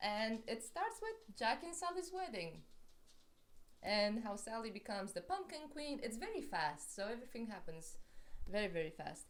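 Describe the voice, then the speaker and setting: Her fairly high voice has an animated tone and very wide pitch swings. The woman talks at a moderate pace with audible room echo. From Romania. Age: 30s. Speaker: book vlogger. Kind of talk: casual book review vlog.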